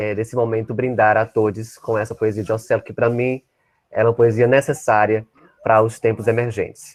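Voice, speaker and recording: The speaker is a man with a medium pitch. He delivers his lines in a monotone, flat way. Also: moderate pace. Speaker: invited speaker on LGBT-phobia. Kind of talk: online talk. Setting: at home, online session.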